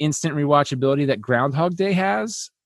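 A man speaks in an ordinary speaking voice, fairly high in pitch with ordinary pitch variation, and the sound is dry and close with no echo. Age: 30s. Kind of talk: casual chat.

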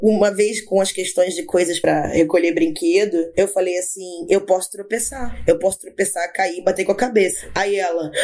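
Amid noticeable background noise, a woman speaks at a moderate pace with very wide pitch swings. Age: 30s. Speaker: agile project manager. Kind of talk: casual chat.

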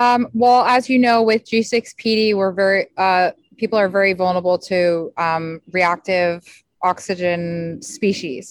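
Recorded very cleanly with a silent background and a dry, close sound with no echo, a woman speaks in a normal speaking voice at a medium pitch and fairly slow pace, with ordinary pitch variation and very even loudness. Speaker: support group moderator.

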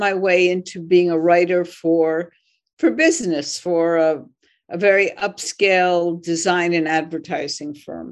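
A woman with an American accent, medium pitch, very slow pace and fairly even intonation, against a quiet background. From Philadelphia, US. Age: 70s. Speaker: journalist and author. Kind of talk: interview.

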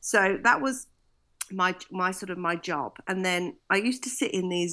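A woman talks at a fairly slow pace with a medium pitch and ordinary pitch variation. Her tone is bright and sharp. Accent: British. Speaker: singer, vocal coach, TV judge. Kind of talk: casual interview. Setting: video call from Florida.

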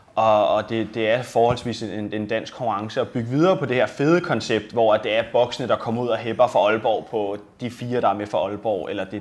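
Fairly low in pitch, a man talks at a fairly quick pace. He has an unremarkable speaking voice. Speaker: athlete. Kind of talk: casual interview.

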